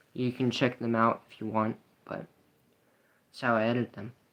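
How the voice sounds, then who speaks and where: This man talks at a moderate pace. His pitch sits in the medium range. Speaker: youtuber livestreaming video editing. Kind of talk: casual livestream commentary. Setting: live stream.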